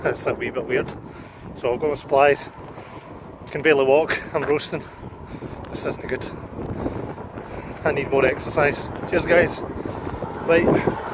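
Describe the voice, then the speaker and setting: With a Glasgow accent, a man with a fairly high pitch talks at a moderate pace with fairly even intonation and long, frequent pauses over noticeable background noise. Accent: Glasgow Scottish. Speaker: vlogger. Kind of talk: casual vlog.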